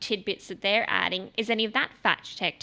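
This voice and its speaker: Speaking very fast with fairly even intonation, a woman with a bright, sharp tone and medium pitch is heard on a very clean recording with a silent background. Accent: Australian. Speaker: podcast host. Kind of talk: casual chat.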